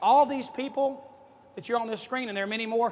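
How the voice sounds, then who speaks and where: A man's voice over noticeable background noise. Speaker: motivational speaker at sales conference. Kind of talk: conference keynote speech. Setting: stage with audience. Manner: fast; animated.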